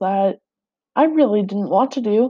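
Speaking with a Saskatchewan accent, a woman talks at a moderate pace and medium pitch with ordinary pitch variation. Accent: Canadian (Saskatchewan). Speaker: podcaster. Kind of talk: personal monologue.

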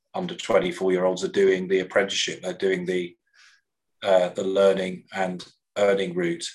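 A very deep, low male voice in an English Midlands accent, with fairly even intonation and a moderate pace. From English Midlands, Coventry. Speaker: education sector executive. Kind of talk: interview conversation. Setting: video call.

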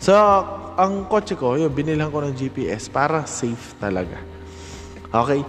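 Lively intonation carries speech at a moderate pace over noticeable background noise. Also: man, fairly high pitch for a man. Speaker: fitness trainer and podcast host. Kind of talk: solo podcast monologue. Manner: halting, many fillers.

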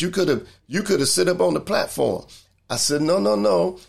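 A man's voice swings very widely in pitch as he goes at a fairly quick pace. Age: 60s. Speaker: church minister hosting a talk podcast. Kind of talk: livestreamed inspirational talk. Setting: live video stream. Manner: repetitive, preacher-like emphasis.

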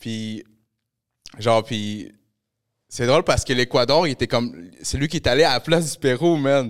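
On a very clean recording with a silent background, a man is speaking. He leaves long, frequent pauses. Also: medium pitch for a man, ordinary pitch variation, moderate pace. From Montreal, Quebec (grew up in Pointe-aux-Trembles, from Peru). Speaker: podcast host. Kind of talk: casual chat.

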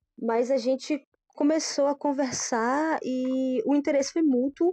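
In a dry, close sound with no echo, a woman speaks at a high pitch. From southern Bahia, Brazil (Pau Brasil). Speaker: vegan food business owner. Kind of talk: casual chat.

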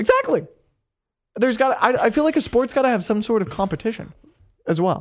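Very fast, animated speech broken by long, frequent pauses. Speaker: guest co-host. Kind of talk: casual chat. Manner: joking, animated.

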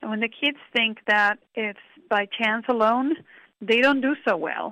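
A woman talks in a normal speaking voice, pitched fairly high, at a moderate pace. Her intonation stays fairly even. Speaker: pediatric kidney doctor and professor. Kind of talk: expert interview. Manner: warm, conversational.

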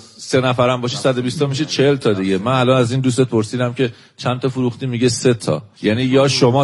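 This man talks at a very fast pace. His voice is medium in pitch. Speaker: radio host interviewing criminal suspects. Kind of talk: interview.

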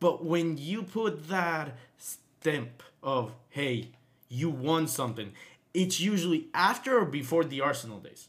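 A man with an unremarkable speaking voice, fairly high-pitched, with lively intonation, big swings in loudness and a fairly slow pace. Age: 20s. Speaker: podcast host. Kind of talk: casual chat.

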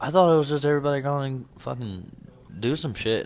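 In a normal speaking voice, a man with a fairly high pitch talks with lively intonation. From Indiana. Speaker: podcast co-host. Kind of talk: casual chat. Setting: bar or cafe with live band.

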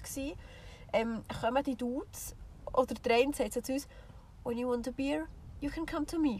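In a Swiss accent, a woman speaks with ordinary pitch variation. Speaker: podcast co-host. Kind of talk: casual chat. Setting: in a camper van with the rear hatch open.

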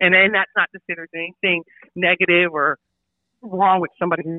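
Speaking very fast, a woman delivers her words with an American accent. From Lancaster, California. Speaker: retired navy master chief. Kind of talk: interview.

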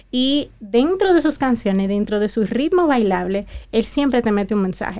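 Her tone dark and mellow, a woman talks fairly high in pitch without hurrying or dragging. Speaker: music appreciation teacher. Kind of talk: radio talk segment.

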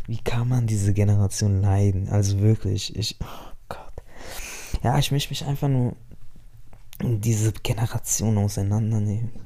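Fairly low-pitched male voice, dark and mellow in tone and somewhat breathy, at a moderate pace with fairly even intonation and long, frequent pauses. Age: 20s. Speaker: podcaster. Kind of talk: casual monologue. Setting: home. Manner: halting. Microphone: mic problems.

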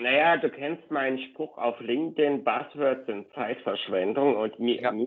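This man's speech moves fairly slowly, and his pitch varies in an ordinary way. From eastern Germany, Leipzig. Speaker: market research company director. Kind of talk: interview conversation.

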